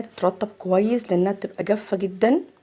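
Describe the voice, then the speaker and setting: A woman talks with an Egyptian accent at a medium pitch. Her pace is moderate and her intonation fairly even. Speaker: makeup artist. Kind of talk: tutorial. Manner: chatty.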